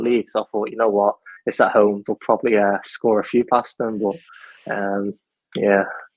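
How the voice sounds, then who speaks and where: With a Mancunian accent, a man speaks at a fairly low pitch. His intonation is monotone and flat, and his pace is fairly quick. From Manchester, Stockport; lived in Ireland age 8 to 17. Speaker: football fan guest. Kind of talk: casual chat.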